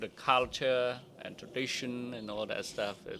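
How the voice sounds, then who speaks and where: The speaker has a Cambodian accent. The pace is moderate. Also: man. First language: Khmer. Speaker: immigrant sharing life story. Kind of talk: interview testimony. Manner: halting.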